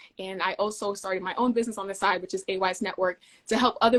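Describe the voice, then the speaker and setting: A woman with an American accent has a plain, everyday voice, medium in pitch, with fairly even intonation. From US (moved from Denmark at age eight). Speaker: field service engineer. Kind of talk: interview conversation.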